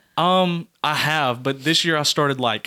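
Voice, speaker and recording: A man talks with a Southern US accent in a bright, sharp tone. The sound is dry and close, with no echo. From US South, Georgia. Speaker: podcast guest. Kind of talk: casual chat.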